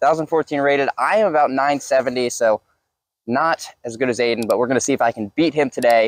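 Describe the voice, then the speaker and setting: The man's pace is moderate and his pitch varies in an ordinary way. No echo colors the dry sound. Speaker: channel host. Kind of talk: casual vlog chat. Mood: upbeat and joking. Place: forest. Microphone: lapel.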